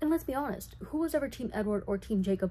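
Quiet and somewhat breathy, a woman talks at a very fast pace with lively intonation and a dark, mellow tone. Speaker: vlogger. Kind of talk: casual movie recap commentary. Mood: chatty, playful. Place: home room. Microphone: webcam.

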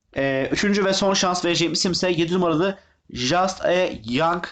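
A man with a high pitch talks at a moderate pace, his voice showing ordinary pitch variation. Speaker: horse racing tipster. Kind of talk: betting tips video monologue. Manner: halting, many filler sounds.

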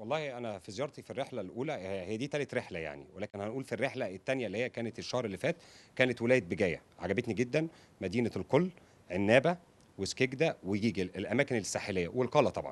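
A man's medium-pitched voice, very fast, with lively intonation. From Egypt. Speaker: YouTuber. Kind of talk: interview. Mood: warm, enthusiastic. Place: home room. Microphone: handheld.

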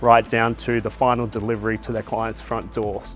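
Over faint music in the background, a man talks at a fairly quick pace. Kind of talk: interview answer. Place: factory. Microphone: lapel.

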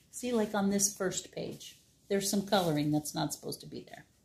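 Her voice has a dark, mellow tone with vocal fry. The woman's pitch varies in an ordinary way. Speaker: library storytime reader. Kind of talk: bedtime story reading, picture-book read-aloud to children. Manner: gentle, warm and animated, with playful sound effects; slow, clear, child-friendly pacing. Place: home room. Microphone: phone near.

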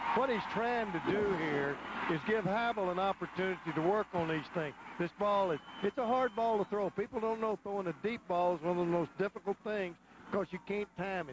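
A high-pitched man with a Southern US accent at a fairly quick pace, amid noticeable background noise. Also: ordinary pitch variation, dry, close sound with no echo. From Texas. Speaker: football color analyst, former coach. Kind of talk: live commentary. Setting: stadium broadcast booth. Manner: folksy.

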